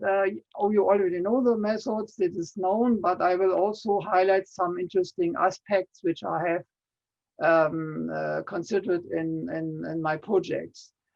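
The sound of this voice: Speaking at a fairly slow pace, a man uses a high-pitched, slightly mellow voice with vocal fry.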